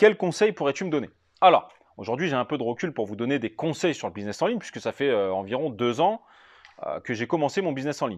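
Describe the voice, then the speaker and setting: A man speaks at a fairly quick pace with very wide pitch swings. The sound is dry and close with no echo, over a quiet background. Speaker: real estate investment trainer, YouTuber. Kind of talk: casual FAQ video, answering viewer questions. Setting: at home.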